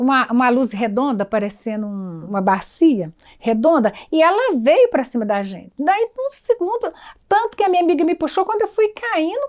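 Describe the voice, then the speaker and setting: At a moderate pace, a woman speaks in a high pitch that moves in very wide swings. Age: 70s. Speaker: cultural community elder. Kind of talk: documentary interview, personal storytelling.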